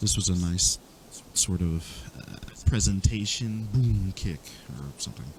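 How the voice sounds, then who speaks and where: Somewhat breathy, a man with a very deep, low pitch speaks at a fairly slow pace, leaving long, frequent pauses. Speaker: music producer. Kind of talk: software tutorial walkthrough. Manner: casual, unplanned, occasional stutter.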